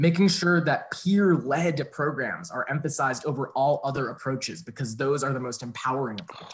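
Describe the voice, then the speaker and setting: A man with an American accent speaks at a fairly high pitch and a fairly quick pace, with hardly any pauses. His voice is somewhat breathy, with ordinary pitch variation, over light background noise. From US suburb. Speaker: college teacher. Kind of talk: public comment. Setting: video call. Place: home room. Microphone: video call.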